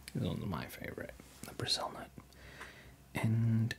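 A man is whispering. He keeps a moderate pace. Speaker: ASMR creator. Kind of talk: ASMR eating and tingle-test talk to camera. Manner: casual, relaxed, conversational. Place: home room.

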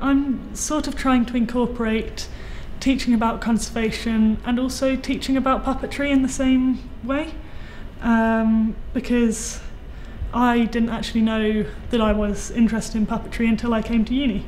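A woman speaks in a monotone with flat intonation. Her pace is moderate, with light background noise. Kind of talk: interview answer. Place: workshop.

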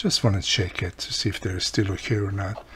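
A man with a low voice and a fairly bright tone talks at a fairly quick pace with fairly even intonation.

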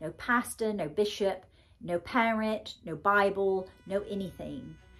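A very slow pace and ordinary pitch variation, with faint music in the background. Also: woman. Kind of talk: personal monologue. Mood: earnest, grieving, emotional. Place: home room.

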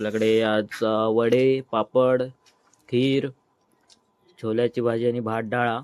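Speaking with a Konkan accent, a man uses a medium pitch and monotone, flat intonation. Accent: Malvani. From Mumbai, Konkan roots. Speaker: vlogger. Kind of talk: casual vlog narration.

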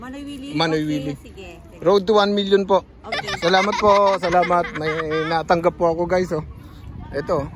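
Fairly quick speech with ordinary pitch variation, a dry sound with no echo and noticeable background noise. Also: man, high pitch for a man. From Southern Leyte, Philippines; Philippines. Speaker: YouTube vlogger. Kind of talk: casual vlog with street interviews. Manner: animated. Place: garden. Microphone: phone near.

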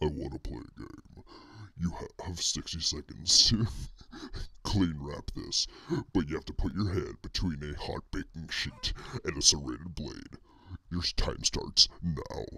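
In a put-on character voice, a man speaks very deep and low with a menacing tone, at a fairly slow pace with long, frequent pauses. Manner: menacing, creepy.

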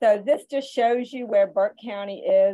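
At a moderate pace, a woman speaks with an American accent. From US South (Georgia). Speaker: school nutrition director; webinar presenter. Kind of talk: webinar presentation. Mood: warm, encouraging. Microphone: video call.

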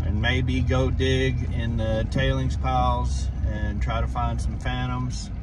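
Here a man is speaking, and noticeable background noise can be heard. The sound is dry, with no echo. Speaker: outdoors vlogger. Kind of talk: casual vlog chat. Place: car. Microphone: phone near.

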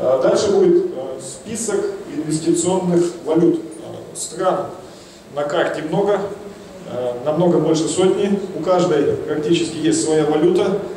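Speaking very slowly with long, frequent pauses, a man uses a high pitch, with audible room echo and light background noise. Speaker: investment consultant. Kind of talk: conference talk. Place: hall. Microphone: handheld.

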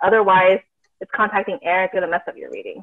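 A woman talks at a medium pitch, recorded dry and close with no echo.

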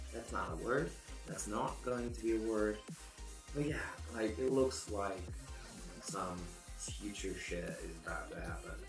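Clear music plays behind a man with a very deep, low pitch. His voice makes very wide pitch swings, broken by long, frequent pauses. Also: fairly slow pace. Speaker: photo manipulation artist. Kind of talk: tutorial voice-over. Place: home room.

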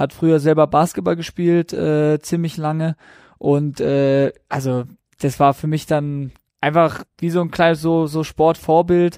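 A man's ordinary speaking voice, fairly high in pitch, fairly slow and fairly even in intonation, with a dry, close sound free of echo on a very clean recording with a silent background. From South Baden, Germany. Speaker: professional footballer. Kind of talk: podcast interview.

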